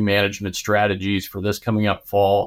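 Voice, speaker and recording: This man has a fairly low pitch and a Midwestern US accent. The recording is very clean, with a silent background. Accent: US Midwest. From Nebraska, US Midwest. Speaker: animal scientist, cattle nutrition expert. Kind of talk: interview. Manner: halting, many fillers and repeats.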